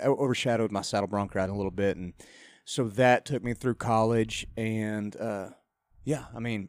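The speaker has a West Texas accent and a moderate pace. The intonation stays fairly even. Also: man, very clean recording, silent background. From Texas, Lubbock. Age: 30s. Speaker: country singer and former rodeo rider. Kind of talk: casual radio interview. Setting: studio.

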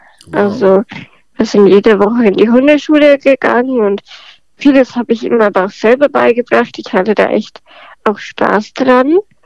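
A woman with a fairly high pitch has an unremarkable speaking voice and talks at a moderate pace with ordinary pitch variation. The sound is dry and close, with no echo. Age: 20s. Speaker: podcast guest with spinal muscular atrophy. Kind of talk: casual interview.

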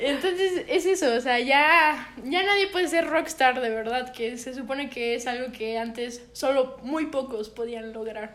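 Loud and lively in intonation, a woman with a Mexican accent speaks at a high pitch and a fairly slow pace, with hardly any pauses. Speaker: podcast co-host. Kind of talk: casual chat.

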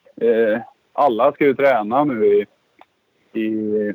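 Dry and close, with no echo, the recording holds a man's voice. His pitch is medium with ordinary variation. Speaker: former motocross rider and team coach. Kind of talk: casual chat.

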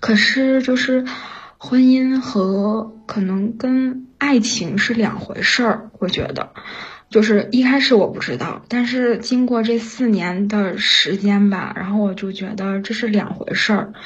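A woman talks at a very slow pace with a fairly high pitch and fairly even intonation. Noticeable background noise and audible room echo are present. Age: 30s. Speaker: caller, factory worker. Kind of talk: personal confession on call-in show. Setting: remote connection to live stream mic. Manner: halting with many fillers.

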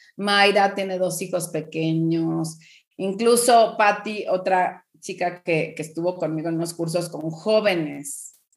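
In a Mexican accent, a woman with fairly low pitch talks at a very slow pace with fairly even intonation. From Mexico. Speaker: parenting coach. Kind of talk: podcast interview, advice talk.

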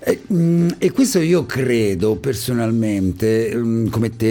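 The intonation of this man is lively. Noticeable background noise runs behind him. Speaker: radio host. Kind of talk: radio interview. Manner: warm, chatty, enthusiastic.

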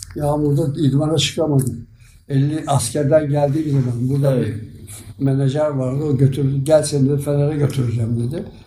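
Amid audible room echo, a man speaks fairly quickly with a fairly high pitch, a dark, mellow tone, somewhat breathy delivery and monotone, flat intonation. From Turkey, Sakarya. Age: 80s+. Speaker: retired amateur footballer. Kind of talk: interview reminiscence. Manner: halting.

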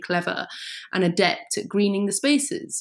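Using vocal fry, a woman speaks at a medium pitch that swings very widely. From English countryside. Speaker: writer. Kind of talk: interview.

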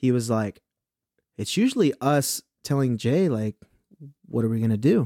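In a Southern California accent, a man talks at a moderate pace with long, frequent pauses, his dark, mellow tone heard in a dry, close sound with no echo. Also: medium pitch for a man, ordinary pitch variation. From Inland Empire, Southern California. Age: 20s. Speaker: musician and rapper. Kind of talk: casual chat.

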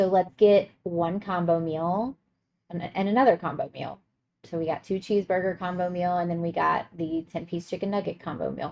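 A woman with an ordinary speaking voice talks at a moderate pace and a fairly low pitch, her intonation fairly even. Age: 30s. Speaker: podcast co-host, mother. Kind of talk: casual chat.

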